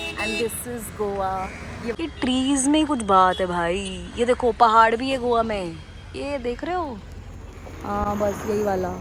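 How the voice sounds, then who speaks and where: A woman speaks with a fairly high pitch and lively intonation. Behind her lies noticeable background noise. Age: 20s. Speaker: travel vlogger. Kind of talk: travel vlog narration. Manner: animated.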